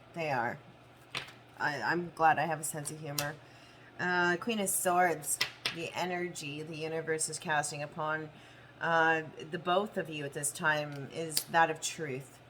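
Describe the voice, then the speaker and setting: Over noticeable background noise, a woman with a very deep, low pitch talks at a fairly slow pace with fairly even intonation and long, frequent pauses. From Canada. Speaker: tarot reader. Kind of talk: tarot reading monologue. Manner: slight slurring.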